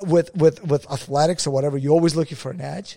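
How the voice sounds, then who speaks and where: A man's dark, mellow voice at a very fast pace, dry and close with no echo. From Russia. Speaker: podcast co-host. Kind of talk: casual chat.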